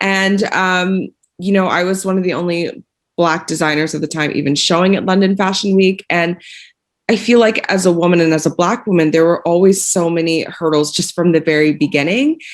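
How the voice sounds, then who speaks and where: With an American accent and a normal speaking voice, a woman talks at a fairly quick pace and fairly low pitch, her intonation fairly even. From United States. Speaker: fashion designer. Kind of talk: panel discussion.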